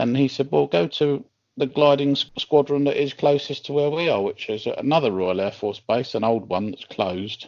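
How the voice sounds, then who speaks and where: A man with a fairly high pitch speaks at a moderate pace. His intonation is lively, and he takes hardly any pauses. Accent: southern English. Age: 60s. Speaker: glider pilot and instructor. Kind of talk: interview.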